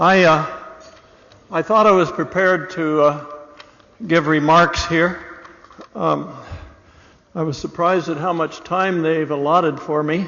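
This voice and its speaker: Amid noticeable background noise and audible room echo, a man with a high voice speaks at a fairly slow pace with long, frequent pauses. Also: fairly even intonation. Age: 70s. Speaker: award recipient. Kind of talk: acceptance speech. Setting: stage with audience. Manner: casual, with many fillers.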